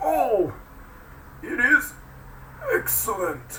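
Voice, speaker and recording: Loud background noise surrounds a put-on character voice. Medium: read story. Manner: hesitant, stammering.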